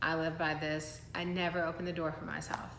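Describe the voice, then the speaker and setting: Audible room echo around a woman speaking at a moderate pace. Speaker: lifestyle vlogger. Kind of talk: motivational talk to camera.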